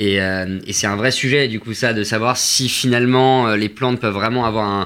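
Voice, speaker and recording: A man speaks in a bright, sharp tone at a fairly quick pace. His pitch is medium and his intonation fairly even. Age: 20s. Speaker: tea company co-founder. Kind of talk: radio interview.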